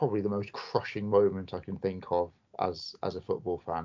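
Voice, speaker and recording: This man has an ordinary speaking voice. His pitch is fairly low and his intonation fairly even. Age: 30s. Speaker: football podcast co-host. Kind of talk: casual chat.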